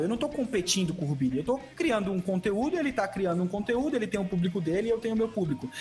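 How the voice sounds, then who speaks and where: With music in the background, a man talks very fast at a high pitch with hardly any pauses, his pitch swinging very widely while his loudness stays very even. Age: 20s. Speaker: Tibia streamer. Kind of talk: casual interview. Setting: studio.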